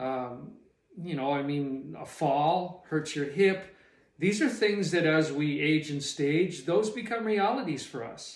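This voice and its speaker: A man talks at a fairly slow pace with ordinary pitch variation. His voice sits fairly high for a man. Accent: western Canadian. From Canadian prairies. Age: 60s. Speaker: retired small business owner. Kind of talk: personal reflection monologue. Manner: halting.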